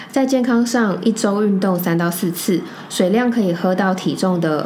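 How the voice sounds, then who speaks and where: Over music in the background, a woman speaks at a moderate pace with audible room echo. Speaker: podcast co-host. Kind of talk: casual chat.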